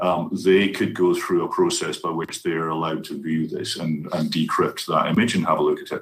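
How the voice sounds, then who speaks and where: With a Scottish accent, a man speaks at a fairly quick pace and hardly pauses. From Scotland. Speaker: university IT presenter. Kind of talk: conference Q&A answer.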